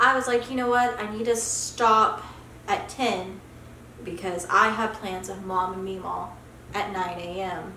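Light background noise and audible room echo surround a woman talking at a fairly slow pace. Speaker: beauty vlogger. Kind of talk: casual vlog chat. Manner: groggy, sluggish hungover drawl. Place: home room.

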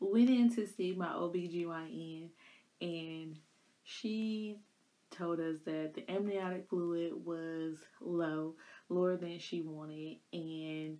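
A woman speaks at a very slow pace in a fairly low pitch. Her intonation stays fairly even. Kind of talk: casual vlog storytelling. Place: home room. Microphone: phone near.

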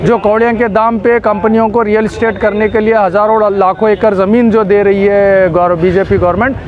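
Over clear background noise, a man talks at a fairly quick pace in a high pitch with little pitch movement.

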